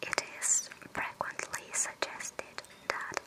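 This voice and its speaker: Noticeable background noise surrounds a fairly slow whisper. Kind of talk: ASMR art narration. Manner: whispered, soft-spoken.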